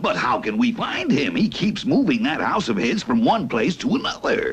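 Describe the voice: A man puts on a cartoonish character voice. It is high-pitched and moves at a moderate pace.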